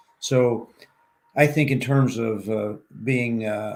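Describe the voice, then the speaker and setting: A man talks at a fairly slow pace in a Southern US accent. His pitch is medium and his intonation fairly even. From Arkansas, US South. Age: 70s. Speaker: ultrarunner and professor. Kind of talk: interview chat.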